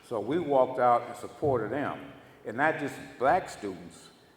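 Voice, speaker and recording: With an American accent, a man speaks at a medium pitch and moderate pace, with audible room echo around him. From Los Angeles, US West Coast (born Houston). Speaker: former activist, guest speaker. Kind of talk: storytelling talk to audience.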